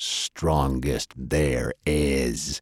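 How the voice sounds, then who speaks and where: A man puts on a growling character voice. His pitch is very deep and low. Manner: bellowing, fierce.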